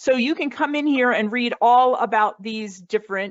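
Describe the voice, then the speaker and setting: An animated tone with an American accent. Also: woman. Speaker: speech-language specialist presenting online resources. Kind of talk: webinar presentation. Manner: fast.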